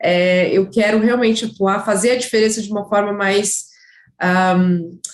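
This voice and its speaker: A woman speaks at a fairly high pitch with a slight gaúcho accent. Her intonation stays fairly even. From Curitiba, southern Brazil. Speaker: sports marketing professional, former footballer. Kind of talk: interview. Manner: hesitant, many fillers.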